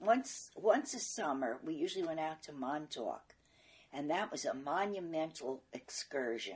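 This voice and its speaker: A New York accent at a fairly slow pace, with very wide pitch swings and big swings in loudness. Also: woman, very deep, low pitch for a woman. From New York, Brooklyn. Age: 80s+. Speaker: interviewee recalling her life. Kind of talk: oral history interview.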